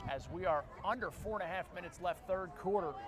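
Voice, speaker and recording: Noticeable background noise surrounds a man with an American accent. His intonation is lively. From Philadelphia, US. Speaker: lacrosse play-by-play commentator. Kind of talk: live sports commentary.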